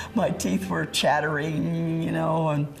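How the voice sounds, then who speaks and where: With music playing in the background, a woman talks at a very slow pace. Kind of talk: life history interview.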